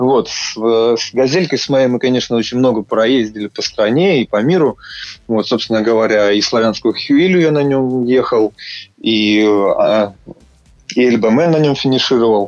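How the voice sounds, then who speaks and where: This is a plain, everyday voice that moves at a moderate pace with ordinary pitch variation. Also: man, medium pitch for a man. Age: 30s. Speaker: amateur triathlete. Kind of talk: interview. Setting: Skype call.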